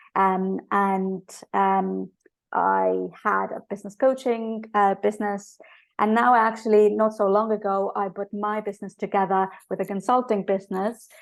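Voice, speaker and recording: Her medium-pitched voice stays monotone and flat as the woman talks. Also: moderate pace, quiet background. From Estonia. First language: Estonian. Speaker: business coach. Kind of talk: podcast interview. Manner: halting, many fillers.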